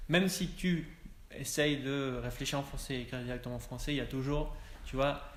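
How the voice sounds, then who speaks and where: With audible room echo around him, a man with a fairly high pitch talks at a fairly quick pace. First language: Spanish (speaking French). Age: 20s. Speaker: copywriter at ad agency. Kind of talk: interview. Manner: halting.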